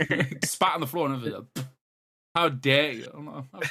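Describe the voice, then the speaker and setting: This man speaks with an English accent at a fairly high pitch. His pitch varies in an ordinary way while his loudness swings widely. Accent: English, lazy with words. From East of England. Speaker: podcast co-host. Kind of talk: casual chat.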